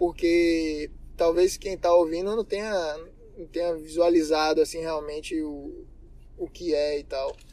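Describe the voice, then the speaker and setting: Speaking at a fairly slow pace, a man with a high pitch talks in a flat, monotone way, his loudness swinging widely. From Bahia, Brazil. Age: 20s. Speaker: mechanical engineer. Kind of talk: interview.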